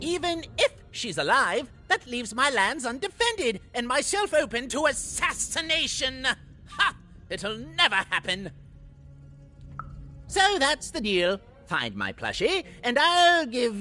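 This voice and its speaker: Putting on a whiny character voice with a theatrical, whiny tone, a man speaks in a raised, projected voice at an extremely high pitch with very wide pitch swings, going at a fairly slow pace over clear background noise. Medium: video game. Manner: paranoid, theatrical, whiny.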